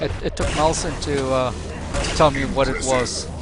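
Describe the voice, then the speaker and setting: The man's speech is accompanied by clearly audible background noise. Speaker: esports shoutcaster. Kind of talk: live game commentary chat. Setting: voice chat server live stream. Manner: hesitant, repeats words.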